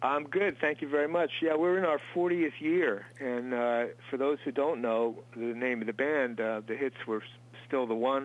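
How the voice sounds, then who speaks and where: At a moderate pace, a man talks with ordinary pitch variation. His is an unremarkable speaking voice, medium in pitch. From Long Island, New York. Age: 60s. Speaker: musician. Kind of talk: interview. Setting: studio.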